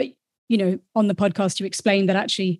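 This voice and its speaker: Somewhat breathy, with a dark, mellow tone, a woman is recorded with a dry, close sound, no echo and a quiet background. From Wellington, New Zealand. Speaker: podcast co-host, interviewer. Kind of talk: interview.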